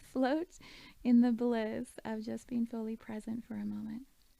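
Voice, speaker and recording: A woman speaks in an ordinary speaking voice. Her pitch is fairly high and her intonation fairly even. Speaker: meditation guide. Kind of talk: guided meditation. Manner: calm, slow.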